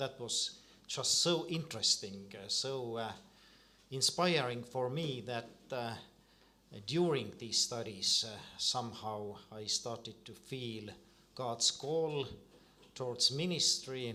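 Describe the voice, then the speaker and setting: Pausing long and often, a man speaks very slowly at a medium pitch with ordinary pitch variation. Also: big swings in loudness. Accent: Estonian. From Estonia. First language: Estonian. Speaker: Lutheran priest. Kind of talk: panel discussion. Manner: halting, many repeated words.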